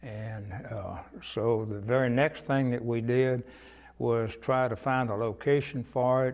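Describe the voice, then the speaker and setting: A man with a Texan accent speaks fairly slowly at a medium pitch, keeping his intonation fairly even. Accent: Texan Southern American. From Cuero, Texas. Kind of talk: oral history interview answer.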